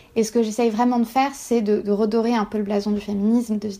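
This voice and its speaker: A woman's dark, mellow tone in a monotone, flat intonation, in a very clean recording with a silent background. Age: 20s. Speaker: PhD student and feminist newsletter founder. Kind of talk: personal testimony interview. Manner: halting with frequent fillers.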